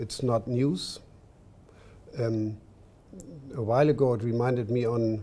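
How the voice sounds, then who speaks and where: A man with a German accent speaks at a fairly slow pace. His medium-pitched voice has a dark, mellow tone. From Germany. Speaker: diplomat. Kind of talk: panel discussion. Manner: halting.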